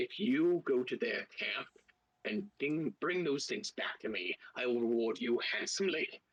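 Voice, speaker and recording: Someone performs a put-on character voice, delivering it at a moderate pace. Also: man, fairly high pitch for a man. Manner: promising a reward.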